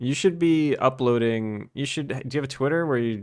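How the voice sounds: The voice reads naturally. It sounds like a natural reading voice.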